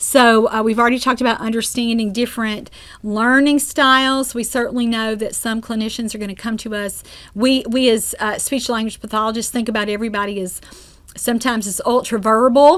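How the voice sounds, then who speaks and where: A woman speaks with a Southern US accent. Her intonation is fairly even. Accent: Southern drawl. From US South. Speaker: speech-language pathologist and course instructor. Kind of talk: lecture. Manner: conversational with frequent fillers.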